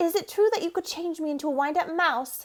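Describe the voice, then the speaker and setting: A woman uses a put-on character voice that is squeaky and extremely high-pitched. She talks at a fairly quick pace. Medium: read story.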